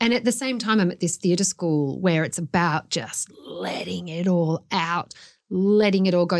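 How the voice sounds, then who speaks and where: A fairly low-pitched woman with an Australian accent, in a very clean recording with a silent background. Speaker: author. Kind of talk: personal storytelling interview.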